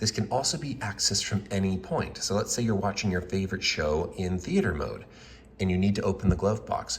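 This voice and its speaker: Noticeable background noise sits behind this man. He talks at a fairly quick pace with ordinary pitch variation. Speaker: UI/UX designer. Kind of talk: product concept demo narration.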